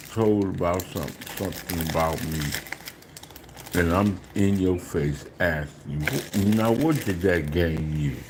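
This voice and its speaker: The recording has noticeable background noise and audible room echo. Through it, a man talks fairly slowly. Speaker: food eating livestreamer. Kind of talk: casual live stream chat. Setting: live stream. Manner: talking low.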